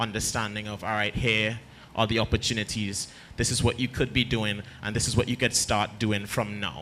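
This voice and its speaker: In a Trinidadian accent, a man talks in a monotone, flat intonation with a bright, sharp tone and medium pitch. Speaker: arts mentor. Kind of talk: panel talk to audience.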